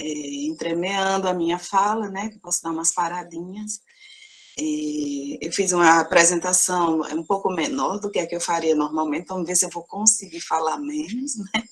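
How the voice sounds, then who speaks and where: A soft-spoken woman talks at a fairly low pitch. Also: ordinary pitch variation. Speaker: university professor. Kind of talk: lecture. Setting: video conference. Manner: slow, measured.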